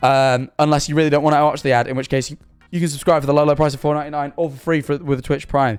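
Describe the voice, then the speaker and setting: A man's fairly high, monotone voice in a southern English accent at a very fast pace, with music in the background. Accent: English (southern England). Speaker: streamer. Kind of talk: casual live stream chat. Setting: live stream. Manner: halting; rushed.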